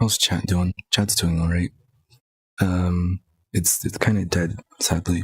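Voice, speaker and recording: A man's very deep, low, somewhat breathy voice in a monotone, flat intonation, very slow with long, frequent pauses, at very even loudness, in a dry, close sound with no echo. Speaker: gaming streamer. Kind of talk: gameplay commentary. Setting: live stream.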